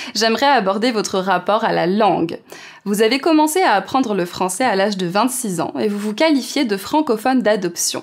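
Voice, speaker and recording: Against noticeable background noise, a woman speaks at a fairly high pitch with lively intonation. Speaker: interviewer. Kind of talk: interview questions.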